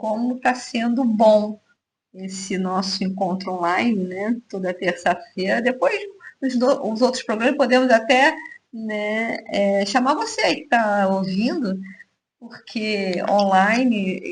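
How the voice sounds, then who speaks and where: A somewhat breathy woman at a fairly high pitch, at a very slow pace, with ordinary pitch variation and big swings in loudness. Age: 60s. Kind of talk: casual radio chat.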